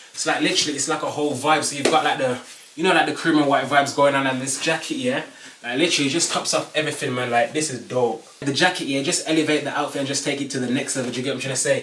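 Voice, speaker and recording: A man talks at a very fast pace and a fairly high pitch. Audible room echo and light background noise surround him. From Birmingham, UK. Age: 20s. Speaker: fashion YouTuber. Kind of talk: casual talk to camera. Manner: upbeat, energetic. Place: home room. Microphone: camera far.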